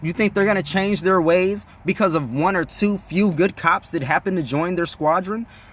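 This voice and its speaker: With hardly any pauses, a man talks at a moderate pace in an animated tone, his high voice showing ordinary pitch variation. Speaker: YouTube commentator. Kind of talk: opinion rant.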